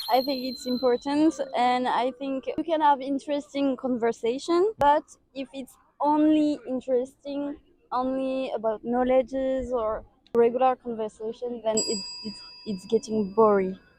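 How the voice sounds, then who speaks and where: A woman with a French accent speaks at a moderate pace in a high pitch, with a dark, mellow tone, ordinary pitch variation and big swings in loudness. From France. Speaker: interviewee. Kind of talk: street interview.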